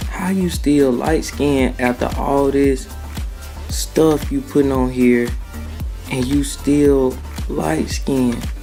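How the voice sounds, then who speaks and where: A man talks very slowly while music plays behind him. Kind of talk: joking voiceover commentary. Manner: teasing, playful.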